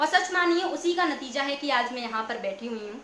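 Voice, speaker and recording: A woman's raised, projected voice, high-pitched with lively intonation, at a fairly slow pace amid audible room echo. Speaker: poet. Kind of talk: live stream chat thanking viewers.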